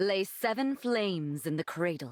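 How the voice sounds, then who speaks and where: This is a cartoonish character voice that sounds female. It sits at a medium pitch for a woman. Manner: warm, effusive.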